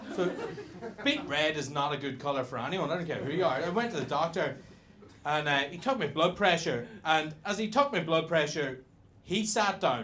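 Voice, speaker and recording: Bright and sharp in tone, a voice with a Northern Irish accent moves at a moderate pace with lively intonation. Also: man, fairly high pitch for a man. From Northern Ireland. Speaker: stand-up comedian. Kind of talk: stand-up.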